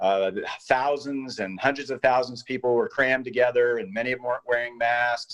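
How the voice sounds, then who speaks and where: This is a man's voice. It sits in the medium pitch range. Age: 60s. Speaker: panelist. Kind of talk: panel discussion. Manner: animated.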